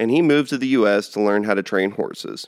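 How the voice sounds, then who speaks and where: A man with a Texan accent at a moderate pace, with ordinary pitch variation, in a dry, close sound with no echo on a very clean recording with a silent background. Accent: Texan American. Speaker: cattle rancher and podcast host. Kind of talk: casual monologue.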